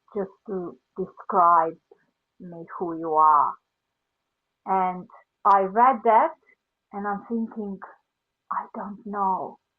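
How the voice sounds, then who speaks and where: With a Serbian accent, a woman talks very slowly at a medium pitch with ordinary pitch variation. Her loudness swings widely, and she leaves long, frequent pauses. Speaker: life coach. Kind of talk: casual chat.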